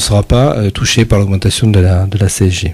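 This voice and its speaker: A man's somewhat breathy voice at a moderate pace. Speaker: parliamentary candidate. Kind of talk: radio interview. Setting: radio studio. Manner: hesitant.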